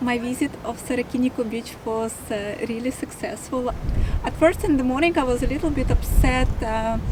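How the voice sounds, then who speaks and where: A woman speaks at a moderate pace in a high voice, with noticeable noise behind her. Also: ordinary pitch variation. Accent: Russian. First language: Russian. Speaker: travel vlogger. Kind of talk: casual talk to camera. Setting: outdoors.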